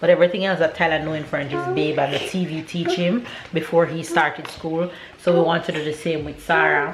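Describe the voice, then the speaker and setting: A woman with a Jamaican accent, fairly low in pitch, fairly quick in pace and fairly even in intonation, over noticeable background noise. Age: 30s. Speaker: family vlogger. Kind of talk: casual vlog talk to camera.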